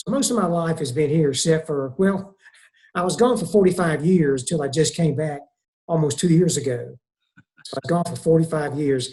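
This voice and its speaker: A dark, mellow tone with a Southern US accent, a fairly quick pace and ordinary pitch variation. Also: man. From US South, Columbia, South Carolina. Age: 60s. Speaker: retired pastor. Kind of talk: casual interview.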